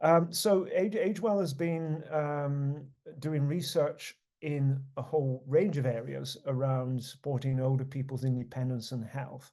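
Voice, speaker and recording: A man with a British accent speaks at a fairly high pitch, in a dark, mellow tone with ordinary pitch variation. His pace is fairly slow, and there is audible room echo. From United Kingdom. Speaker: research network leader. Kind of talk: conference presentation. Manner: halting, many fillers and repetitions.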